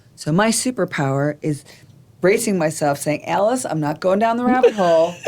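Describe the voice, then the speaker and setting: A woman with an unremarkable speaking voice talks at a moderate pace in a fairly low pitch, her intonation lively. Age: 60s. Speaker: nonprofit executive director. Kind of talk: casual chat.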